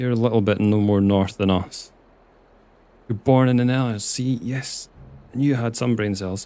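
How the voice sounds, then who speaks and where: Speaking in a Scottish accent with a dark, mellow tone, a man keeps a medium pitch, moderate pace and fairly even intonation, broken by long, frequent pauses. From Scotland. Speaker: video game streamer. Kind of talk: live gameplay stream chat. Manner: casual, chatty.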